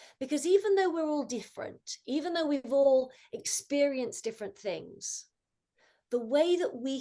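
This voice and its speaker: A woman with a British accent speaks at a high pitch in a dark, mellow tone, her pitch swinging very widely. Her pace is fairly slow. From England. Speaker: mindfulness coach. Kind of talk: talk to student club.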